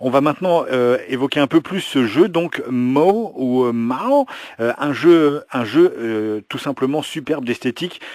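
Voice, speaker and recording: Pitch variation is ordinary as a man speaks in a fairly high voice. His pace is very slow. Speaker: interviewer, channel host. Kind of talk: interview questions to camera.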